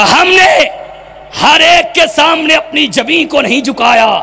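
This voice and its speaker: Extremely high-pitched, a man speaks in a raised, projected voice over noticeable background noise. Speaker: religious preacher. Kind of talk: religious sermon at public rally. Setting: outdoor public gathering. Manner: fiery, declamatory.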